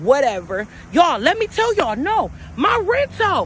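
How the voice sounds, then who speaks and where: A loud voice with an animated tone comes through over noticeable background noise. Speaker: motivational vlogger. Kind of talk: casual vlog monologue.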